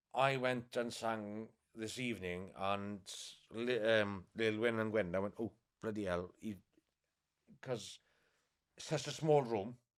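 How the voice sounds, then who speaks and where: A man with a Welsh accent, fairly low in pitch, fairly even in intonation, at a fairly slow pace with long, frequent pauses. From West Wales, Pembrokeshire. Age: 20s. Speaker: local tradition singer. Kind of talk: interview. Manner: halting.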